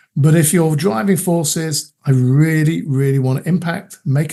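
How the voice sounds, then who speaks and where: A man's fairly high-pitched voice in a dark, mellow tone at a moderate pace. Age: 50s. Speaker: coach. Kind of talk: interview.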